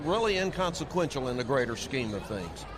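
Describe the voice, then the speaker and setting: A man with a fairly high voice speaks at a moderate pace with lively intonation, with audible room echo and noticeable background noise. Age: 70s. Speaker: seminary president. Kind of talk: interview. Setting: convention floor.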